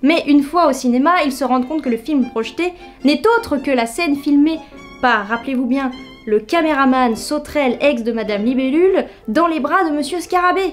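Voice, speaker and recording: A woman's high-pitched voice at a moderate pace, with ordinary pitch variation and music in the background. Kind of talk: humorous commentary to camera. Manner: casual, joking.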